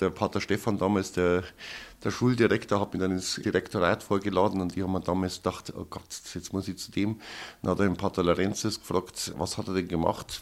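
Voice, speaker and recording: A man speaks at a very fast pace in a very deep, low voice. His intonation stays monotone and flat. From Upper Bavaria, Oberammergau. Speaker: theatre director. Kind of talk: interview.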